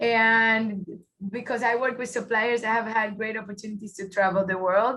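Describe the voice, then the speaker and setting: Music plays behind a woman speaking in a Puerto Rican accent. Her fairly high voice stays monotone and flat at a moderate pace. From Puerto Rico. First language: Spanish. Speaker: automotive engineer, workshop presenter. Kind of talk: webinar presentation.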